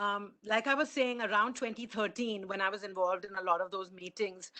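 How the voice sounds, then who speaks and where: A woman speaks at a moderate pace with a medium pitch and ordinary pitch variation. Her tone is bright and sharp, with an Indian accent. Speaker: conference speaker. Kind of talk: conference talk.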